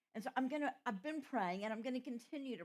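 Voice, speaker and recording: In a Southern US accent, a woman speaks with lively intonation at a fairly high pitch. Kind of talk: retreat talk.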